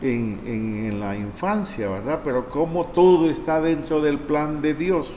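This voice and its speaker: Noticeable background noise under a man's fairly high voice at a very slow pace. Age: 60s. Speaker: priest. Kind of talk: testimony.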